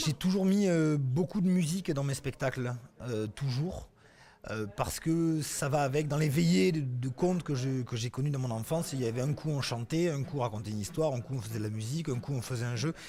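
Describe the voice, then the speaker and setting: Speaking at a fairly quick pace, a man with a medium-pitched, somewhat breathy voice uses lively intonation. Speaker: storyteller. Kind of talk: casual interview answer about his storytelling career.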